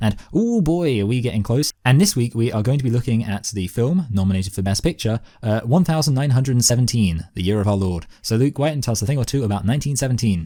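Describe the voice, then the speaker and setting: Using an English accent, a man at a medium pitch talks at a very fast pace with hardly any pauses, a dark, mellow tone and lively intonation. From southern England. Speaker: podcast host. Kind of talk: casual chat.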